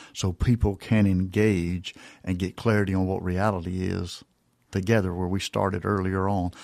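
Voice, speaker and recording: In an ordinary speaking voice, a man talks at a moderate pace with fairly low pitch and fairly even intonation, recorded very cleanly against a silent background with a dry, close sound and no echo. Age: 60s. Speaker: retired military chaplain. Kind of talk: podcast interview. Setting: podcast.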